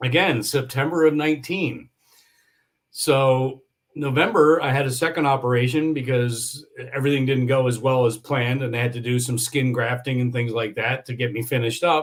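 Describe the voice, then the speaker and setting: At a moderate pace, a man with a medium pitch sounds somewhat breathy, his intonation fairly even. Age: 60s. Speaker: yacht industry entrepreneur and injury survivor. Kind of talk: podcast interview. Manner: halting with frequent repetitions.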